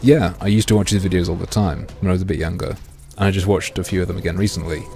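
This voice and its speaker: A man with an American accent talks at a very fast pace in a very deep, low pitch. His pitch varies in an ordinary way, and there is noticeable background noise. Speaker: gaming streamer. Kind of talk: live stream chat.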